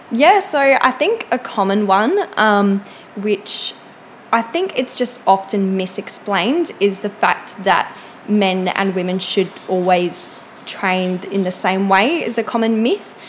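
At a very slow pace, a woman speaks at a medium pitch with ordinary pitch variation over noticeable background noise. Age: 20s. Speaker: personal trainer and psychology student. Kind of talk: casual interview chat.

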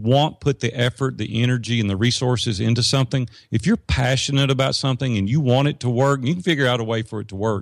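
Here is an ordinary speaking voice from a man at medium pitch and a fairly quick pace, with ordinary pitch variation. The sound is dry and close with no echo, on a very clean recording with a silent background. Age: 50s. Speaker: business coach and entrepreneur. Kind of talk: interview conversation. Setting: studio.

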